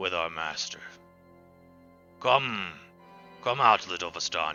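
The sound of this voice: With clear music in the background, a man performs a gruff, menacing, put-on character voice.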